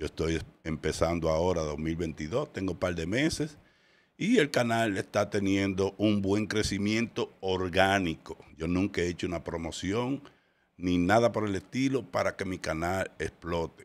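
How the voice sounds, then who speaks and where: At a fairly slow pace, a man with a very deep, low pitch speaks with ordinary pitch variation. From Dominican Republic, Santiago; Dominican Republic. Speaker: podcast host. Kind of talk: casual commentary. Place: studio. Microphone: studio mic.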